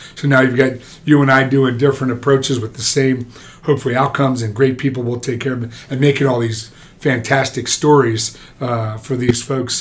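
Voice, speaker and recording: A man with an American accent talks fairly quickly in a medium-pitched monotone. His voice is somewhat breathy and flat. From New Jersey. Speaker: orthopaedic surgeon. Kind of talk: casual interview.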